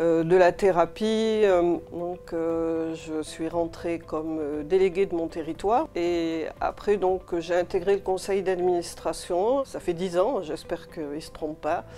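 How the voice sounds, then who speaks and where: Speaking at a very slow pace with hardly any pauses, a woman with a fairly low voice keeps a fairly even intonation while her loudness swings widely. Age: 60s. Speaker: patient association president. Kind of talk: interview testimony. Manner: hesitant, many fillers.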